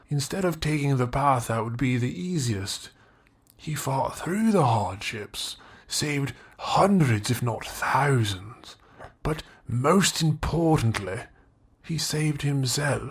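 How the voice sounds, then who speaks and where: A man's put-on character voice, medium in pitch, with lively intonation and a fairly slow pace. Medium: audio drama. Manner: cryptic, formal, insistent.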